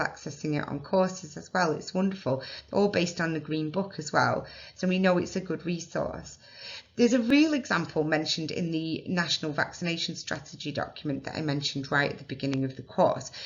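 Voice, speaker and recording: Somewhat breathy and fairly low-pitched, a woman speaks at a fairly quick pace with ordinary pitch variation, and audible room echo surrounds her voice. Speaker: nurse and immunisation tutor. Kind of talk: lecture. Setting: recorded webinar. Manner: somewhat posh, careful teaching voice.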